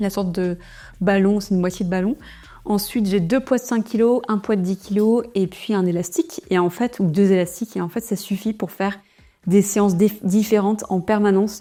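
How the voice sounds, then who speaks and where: With fairly even intonation, a woman talks at a medium pitch in a dark, mellow tone. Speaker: entrepreneur and vlogger. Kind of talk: vlog. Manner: fast.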